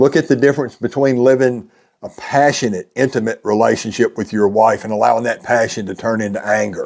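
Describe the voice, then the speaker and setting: A man with a plain, everyday voice at medium pitch, fairly quick pace and ordinary pitch variation, on a very clean recording with a silent background. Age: 60s. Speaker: men's life coach. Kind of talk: motivational talk.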